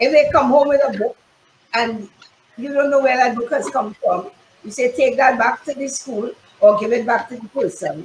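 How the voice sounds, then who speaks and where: In a room with audible echo and light background noise, a woman speaks at a high pitch, with ordinary pitch variation and big swings in loudness. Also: moderate pace. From Trinidad. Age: 70s. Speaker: fashion consultant and modeling teacher. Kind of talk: casual interview. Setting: live-streamed video call. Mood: candid, advising. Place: home room. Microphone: video call.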